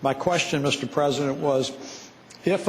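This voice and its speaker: Noticeable background noise is audible. The speaker's intonation is fairly even. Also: man. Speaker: state senator. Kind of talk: questioning in legislative floor debate.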